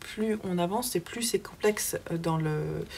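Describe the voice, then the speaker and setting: A woman's medium-pitched voice with a southern French accent and ordinary pitch variation. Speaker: book vlogger. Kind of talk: casual vlog book review. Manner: hesitant, many fillers.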